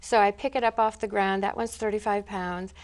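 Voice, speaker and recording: The recording is very clean with a silent background. A woman speaks in a fairly high pitch with fairly even intonation, an unremarkable speaking voice. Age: 60s. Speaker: school assistant principal. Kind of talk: interview answer.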